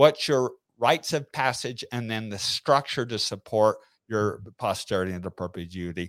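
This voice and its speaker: A man with a plain, everyday voice speaks at a moderate pace and medium pitch, with lively intonation and big swings in loudness, on a very clean, silent-background recording that sounds dry and close with no echo. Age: 50s. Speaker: entrepreneur. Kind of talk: interview. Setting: live stream.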